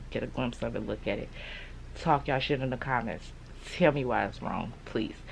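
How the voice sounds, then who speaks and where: A woman's very deep, low voice with vocal fry. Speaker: beauty and lifestyle vlogger. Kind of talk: casual vlog monologue. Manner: talking low, close to the mic. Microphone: speaking very close to the mic.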